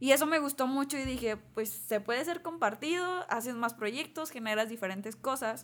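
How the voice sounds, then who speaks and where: Pauses are nearly absent. The talking moves at a moderate speed. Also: woman, high pitch for a woman, lively intonation. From northern Mexico, Torreón, Coahuila. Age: 20s. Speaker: architect. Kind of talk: interview.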